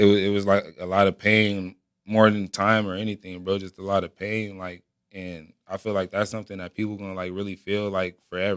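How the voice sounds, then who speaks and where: On a very clean recording with a silent background, a man with an American accent speaks fairly quickly. His fairly low voice is monotone and flat, with big swings in loudness. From Southern California (San Bernardino). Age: 20s. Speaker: rapper. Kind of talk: casual chat.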